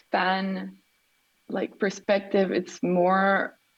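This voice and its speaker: A woman speaks with a Quebec accent. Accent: Québécois French. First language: French. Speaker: artist. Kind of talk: interview.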